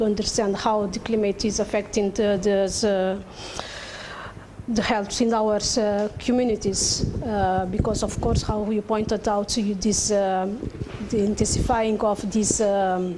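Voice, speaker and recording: Over noticeable background noise and audible room echo, a woman with a Portuguese accent speaks at a medium pitch and a fairly slow pace, her intonation monotone and flat and her loudness very even. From Cape Verde. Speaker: academic discussant. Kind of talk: conference panel comment. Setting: conference panel session. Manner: halting, many fillers.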